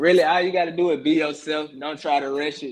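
With an Atlanta accent, a man talks at a fairly quick pace. His intonation is monotone and flat. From Atlanta, Georgia (US South). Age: 20s. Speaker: rapper. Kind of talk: casual interview.

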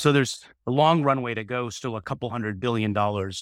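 Someone with an American accent talks at a very fast pace, using ordinary pitch variation. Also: man. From US, Silicon Valley. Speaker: tech company CEO. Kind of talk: interview.

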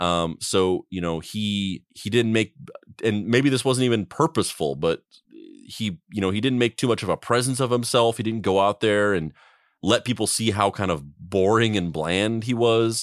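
Recorded very clean against a silent background, with a dry, close sound and no echo, a man with an American accent uses a plain, everyday voice, fairly low in pitch, at a moderate pace with ordinary pitch variation. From US Southwest (New Mexico). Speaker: podcast co-host. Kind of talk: casual comedic podcast chat. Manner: profane, jokey.

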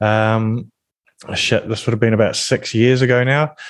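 In a New Zealand accent, a man talks at a moderate pace and medium pitch with monotone, flat intonation. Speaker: business development manager, influencer marketer. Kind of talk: interview podcast.

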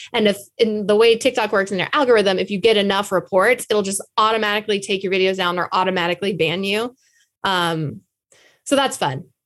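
Talking at a fairly quick pace with ordinary pitch variation, a woman with an unremarkable speaking voice is captured on a very clean recording with a silent background. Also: medium pitch for a woman. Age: 30s. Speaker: social media comedian and podcast co-host. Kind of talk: casual chat.

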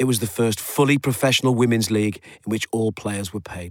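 The speaker has a plain, everyday voice with fairly even intonation. The recording is very clean, with a silent background. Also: man. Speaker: podcast host narrator. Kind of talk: scripted narration.

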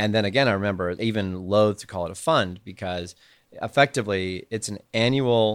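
A man speaks in an unremarkable speaking voice, fairly low in pitch with ordinary pitch variation. The recording is very clean, with a silent background. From Canada. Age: 40s. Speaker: angel investor. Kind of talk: casual chat.

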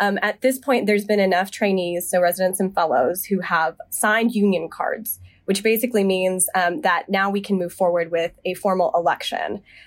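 A normal speaking voice with an American accent moves at a moderate pace with ordinary pitch variation. There are hardly any pauses. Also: woman, medium pitch for a woman. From US South, Charlotte, North Carolina. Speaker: medical resident. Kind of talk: debate discussion.

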